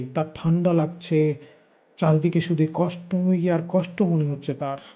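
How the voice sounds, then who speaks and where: Against a quiet background, a man with high pitch and a dark, mellow tone speaks in a monotone, flat intonation. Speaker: audiobook narrator. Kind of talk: audiobook reading of philosophical essays. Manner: calm, contemplative.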